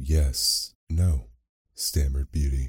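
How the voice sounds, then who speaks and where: In a very deep, low pitch, a man speaks with a soothing, gentle, dark and mellow tone that is somewhat breathy, with fairly even intonation. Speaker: podcast host and narrator. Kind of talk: bedtime story narration. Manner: slow, soothing, gentle pacing; warm, storyteller's expressiveness with mild character voices.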